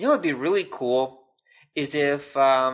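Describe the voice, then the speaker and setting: Moderate in pace and medium in pitch, this man has an ordinary speaking voice. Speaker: podcast host. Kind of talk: casual podcast talk.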